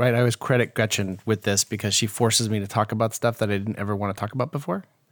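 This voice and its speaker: A man speaks in a playful tone at a very fast pace, with hardly any pauses. His intonation is fairly even, and the sound is dry and close with no echo. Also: very clean recording, silent background. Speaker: podcast co-host. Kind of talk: casual banter, comedic interview. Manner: joking, playful.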